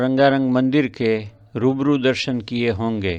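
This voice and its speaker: A man with a Gujarati accent, medium pitch and fairly even intonation, against a quiet background. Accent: Gujarati-accented Hindi. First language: Gujarati (speaking Hindi). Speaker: eye surgeon narrating a devotional travel video. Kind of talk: scripted narration. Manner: formal.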